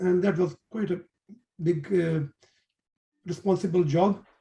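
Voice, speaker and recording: In a Pakistani accent, a man speaks at a high pitch with a dark, mellow tone. His pace is moderate and his pitch variation ordinary. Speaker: engineer and trader. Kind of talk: interview. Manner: halting.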